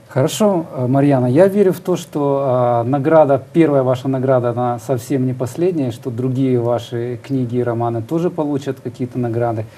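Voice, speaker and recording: A dark, mellow male voice, moderately paced and with ordinary pitch variation. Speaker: TV interviewer host. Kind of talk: studio interview. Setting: studio. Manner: formal, polite. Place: studio. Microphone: lapel.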